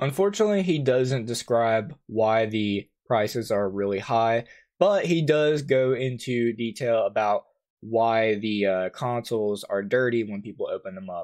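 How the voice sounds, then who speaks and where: With ordinary pitch variation, a man speaks at a fairly slow pace over a quiet background. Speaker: YouTuber. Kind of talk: commentary. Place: home room.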